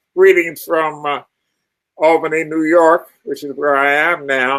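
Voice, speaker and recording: With an American accent, a man talks at a very slow pace and a fairly high pitch. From US Northeast, Philadelphia. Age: 80s+. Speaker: author and retired professor. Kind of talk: interview.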